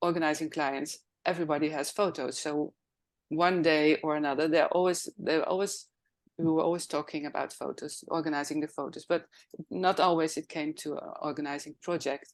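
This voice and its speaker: A woman talks at a fairly quick pace with a very deep, low pitch. Her intonation is monotone and flat. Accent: Dutch. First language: Dutch. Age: 60s. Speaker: professional organizer. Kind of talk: interview.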